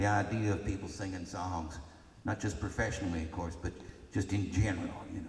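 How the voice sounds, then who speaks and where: The pace is moderate. Audible room echo surrounds the voice. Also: man. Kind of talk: storytelling between songs. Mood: relaxed, reminiscing. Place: stage. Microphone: camera far.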